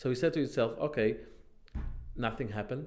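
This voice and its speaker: A man is speaking. He has an Israeli accent. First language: Hebrew. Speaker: online commentator. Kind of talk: casual monologue. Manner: halting.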